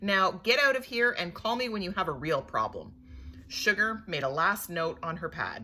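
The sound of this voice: Reading done in an unforced voice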